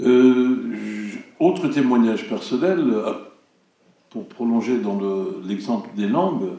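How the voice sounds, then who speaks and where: In a room with audible echo, a man with a dark, mellow tone speaks at a very slow pace with very wide pitch swings. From Turkey, Ankara. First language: Turkish (speaking French). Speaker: cinema director. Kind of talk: public speech. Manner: hesitant, many fillers.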